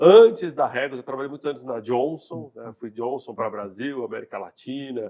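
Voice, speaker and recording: A man with a dark, mellow tone speaks at a medium pitch and a moderate pace. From Brazil, Minas Gerais, raised in São Paulo from age 10. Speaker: company CEO. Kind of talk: interview. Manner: casual, conversational.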